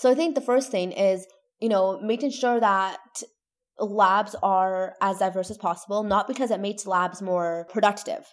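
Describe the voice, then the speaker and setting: A woman's ordinary speaking voice with a Canadian accent, medium pitch, ordinary pitch variation and a moderate pace. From Toronto, Canada. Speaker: neuroscience PhD student and science communicator. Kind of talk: interview conversation.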